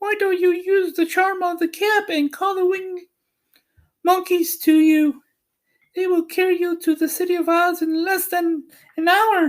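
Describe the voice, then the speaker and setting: In a put-on character voice, a man speaks at a moderate pace with an extremely high, squeaky pitch. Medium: read story. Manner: kindly, brisk.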